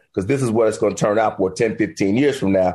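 A man has a normal speaking voice with an American accent. He speaks at a medium pitch with ordinary pitch variation. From Miami, Florida. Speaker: financial advisor. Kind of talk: interview.

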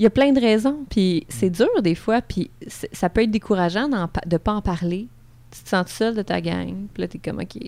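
A woman speaks at a moderate pace in a medium pitch, her dark, mellow tone carrying lively intonation and big swings in loudness. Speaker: sexologist. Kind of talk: casual chat.

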